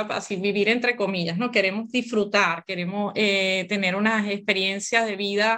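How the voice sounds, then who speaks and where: A woman speaks at a moderate pace in a medium pitch, her tone bright and sharp, with ordinary pitch variation. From Venezuela. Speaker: gynecologist and author. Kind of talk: interview conversation.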